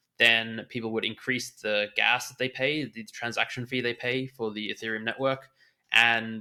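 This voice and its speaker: A man speaks with an Australian accent at a moderate pace and medium pitch, his tone bright and sharp. His intonation is monotone and flat, and the recording is very clean with a silent background. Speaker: NFT trader and former poker player. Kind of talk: podcast interview.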